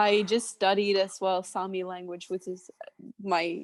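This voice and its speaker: A woman speaks in a Swedish accent at a medium pitch and a fairly slow pace. The sound is dry and close, with no echo. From northern Sweden. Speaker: chef. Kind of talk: podcast interview.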